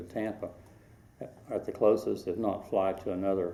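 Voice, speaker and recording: In a Southern US accent, a man talks with a very deep, low pitch and a dark, mellow tone. His intonation is monotone and flat. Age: 60s. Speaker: local history interviewee. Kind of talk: oral history interview.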